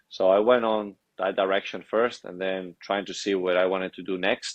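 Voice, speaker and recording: With a Spanish accent, a man speaks at a moderate pace in a very deep, low, monotone and flat voice, dry and close with no echo over a quiet background. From Spain, Madrid. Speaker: athlete and author. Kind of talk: podcast interview.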